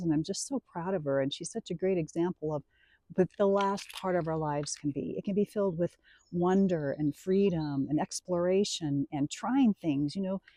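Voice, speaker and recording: A moderate pace against a quiet background. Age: 60s. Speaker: retiree vlogger. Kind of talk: casual vlog monologue. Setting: outdoors by a lake. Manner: conversational with many fillers.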